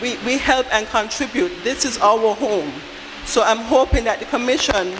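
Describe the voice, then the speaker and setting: Noticeable background noise behind a woman at a moderate pace, fairly high in pitch with ordinary pitch variation. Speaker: audience member at town hall. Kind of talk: public comment at town hall meeting. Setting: town hall meeting at school.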